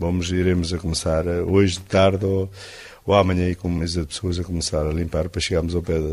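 A man's very deep, low voice, monotone and flat, at a fairly quick pace with hardly any pauses, over noticeable background noise. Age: 60s. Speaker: sawmill owner. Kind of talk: interview.

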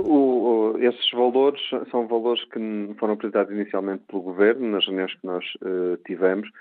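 The speaker is a man keeping a moderate speed. His intonation remains fairly even. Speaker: politician. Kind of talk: radio interview.

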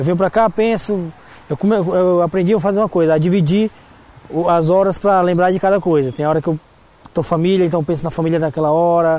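A high-pitched man at a fairly quick pace, fairly even in intonation and very even in loudness. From Brazil. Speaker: restaurant manager. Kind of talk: interview. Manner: halting.

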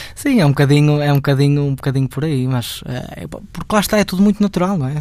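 Very fast speech with hardly any pauses and ordinary pitch variation. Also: man. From Portugal, Guimarães. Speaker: fado singer. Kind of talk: interview. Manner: halting.

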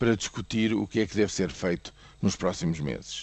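A man speaks at a fairly low pitch with a European Portuguese accent. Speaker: economics commentator. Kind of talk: news commentary. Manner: hesitant with fillers.

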